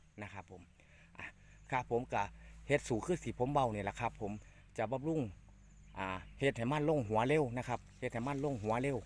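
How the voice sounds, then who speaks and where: The speaker is a man using a normal speaking voice. He talks at a medium pitch, and it varies in an ordinary way. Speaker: farming channel host. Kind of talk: farming tutorial.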